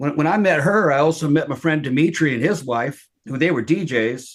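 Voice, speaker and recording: Talking at a fairly quick pace, a man uses an ordinary speaking voice pitched fairly high. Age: 50s. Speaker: poltergeist experiencer, retired military veteran. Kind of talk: casual interview chat.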